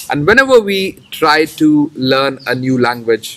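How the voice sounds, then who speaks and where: A man with an Indian accent, fairly high pitch, ordinary pitch variation and a very slow pace. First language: Hindi. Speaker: English teacher. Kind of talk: tutorial. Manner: halting, with fillers and repetitions.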